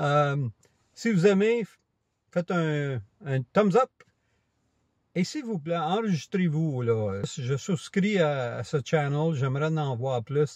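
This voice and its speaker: Over a quiet background, a man speaks very slowly with long, frequent pauses, a somewhat breathy voice and lively intonation, in a dry, close sound with no echo. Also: fairly high pitch for a man. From Quebec. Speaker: camera vlogger. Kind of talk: casual vlog monologue. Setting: outdoors on a walk. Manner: hesitant, many fillers.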